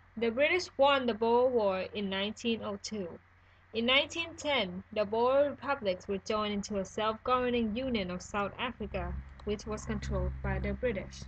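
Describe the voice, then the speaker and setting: A woman with a non-native accent keeps to a moderate pace. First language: not English. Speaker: student. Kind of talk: school history presentation narration.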